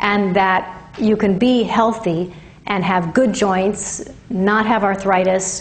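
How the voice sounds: A woman's slow delivery amid audible room echo. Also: medium pitch for a woman, fairly even intonation.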